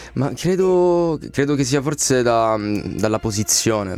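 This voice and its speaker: Lively intonation runs through speech with a slight Calabrian accent. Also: man. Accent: slight Calabrian accent when speaking. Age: 20s. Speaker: singer. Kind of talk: radio interview. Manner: reserved.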